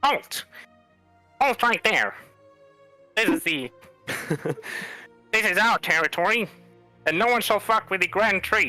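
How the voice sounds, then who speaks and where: Over faint music in the background, a man uses a put-on character voice at a high pitch. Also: moderate pace. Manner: commanding, aggressive.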